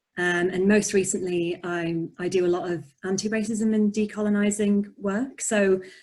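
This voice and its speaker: Her medium-pitched voice carries a slight Yorkshire accent and a monotone, flat intonation. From northern England, Barnsley, Yorkshire. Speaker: poet and author. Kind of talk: interview.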